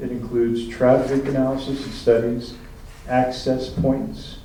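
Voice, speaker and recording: Man's medium-pitched, monotone, flat voice at a fairly slow pace, with audible room echo and noticeable background noise. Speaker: town planning official. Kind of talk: public meeting comment response. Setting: town council meeting.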